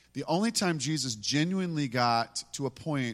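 The recording is very clean, with a silent background. A man talks fairly slowly with ordinary pitch variation. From US, moved around constantly. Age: 50s. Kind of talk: worship exhortation.

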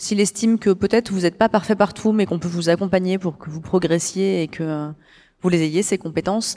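In a very clean recording with a silent background, a woman speaks at medium pitch with a dark, mellow tone and fairly even intonation. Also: fairly quick pace. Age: 40s. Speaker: cooperative executive. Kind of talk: interview. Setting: live forum event.

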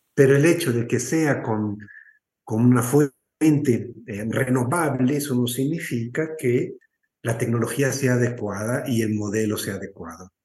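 A man speaks at a fairly slow pace in a somewhat breathy voice. His pitch is medium, with ordinary pitch variation. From northern Mexico, moved around Mexico as a child. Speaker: environmental activist. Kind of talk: interview testimony.

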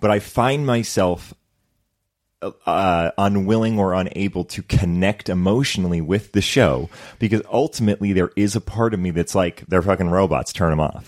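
At a moderate pace, a man with a fairly low pitch speaks in a plain, everyday voice, recorded very cleanly with a silent background and a dry, close sound with no echo. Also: ordinary pitch variation. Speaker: actor.

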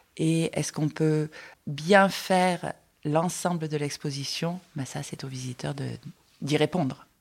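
Speaking at a very slow pace with long, frequent pauses, a woman with a slight Marseille accent uses a very deep, low pitch and fairly even intonation on a very clean recording with a silent background. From Marseille, southern France. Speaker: exhibition designer. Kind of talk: interview, guided tour.

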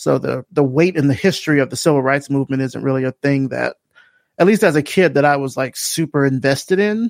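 A man with an American accent and an unremarkable speaking voice talks at a fairly quick pace with a fairly high pitch and ordinary pitch variation, on a very clean recording with a silent background and a dry, close sound with no echo. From US South, Selma, Alabama. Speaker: creative director and podcaster. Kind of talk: casual interview.

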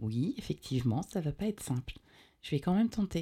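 A woman speaks at a fairly quick pace. Her voice is somewhat breathy, with a dark, mellow tone. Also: very clean recording, silent background. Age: 40s. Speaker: radio show co-host. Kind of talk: casual chat; reading aloud. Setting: studio.

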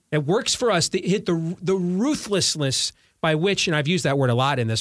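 A man with a plain, everyday voice speaks fairly quickly at a fairly high pitch with lively intonation, on a very clean recording with a silent background. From US Midwest (Iowa). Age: 40s. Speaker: talk radio host. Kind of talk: political discussion.

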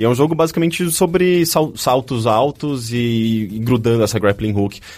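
Using a normal speaking voice, a man talks at a medium pitch and a moderate pace with lively intonation. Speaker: podcast host. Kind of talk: casual chat.

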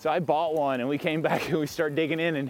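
A man's voice is heard here. His speech carries a Southern US accent. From US South (south Mississippi). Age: 40s. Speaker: tech company founder. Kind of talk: casual interview. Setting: outdoors, riding a bike. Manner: hesitant, many fillers.

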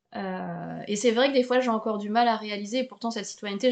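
In a plain, everyday voice, a woman speaks at medium pitch with fairly even intonation. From Paris, France. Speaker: podcast host, French teacher. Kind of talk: interview. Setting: home recording, window open.

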